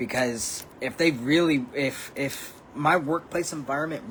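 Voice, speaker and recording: The speaker shows ordinary pitch variation over noticeable background noise. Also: man. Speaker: vlogger. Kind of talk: casual monologue vlog. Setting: at home. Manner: halting, many fillers.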